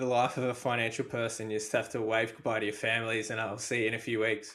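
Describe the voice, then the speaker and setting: A man's medium-pitched voice in an Australian accent, bright and sharp in tone, monotone and flat in intonation, at a very fast pace. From Australia, Melbourne. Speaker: podcast host. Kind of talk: podcast interview.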